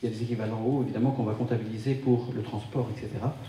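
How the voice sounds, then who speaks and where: Audible room echo surrounds a man's voice. He speaks at a medium pitch with ordinary pitch variation. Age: 60s. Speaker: wellness speaker. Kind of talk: talk to a live audience. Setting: conference room with audience.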